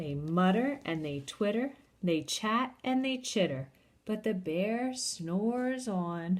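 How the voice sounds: The intonation is lively. It comes in a natural reading voice.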